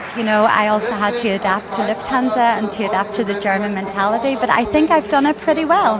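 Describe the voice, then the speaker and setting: Talking at a very fast pace with hardly any pauses, a woman with a fairly high pitch and ordinary pitch variation is heard over noticeable background noise and audible room echo. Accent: Irish. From Ireland. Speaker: flight attendant, purser. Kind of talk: interview.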